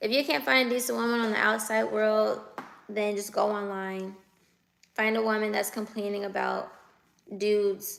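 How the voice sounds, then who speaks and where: An American accent with long, frequent pauses. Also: woman, medium pitch for a woman, fairly even intonation, moderate pace. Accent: West Coast US, sounds like the Bay Area. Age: 20s. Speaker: livestreamer. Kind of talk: casual livestream chat reading viewer comments. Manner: casual, conversational.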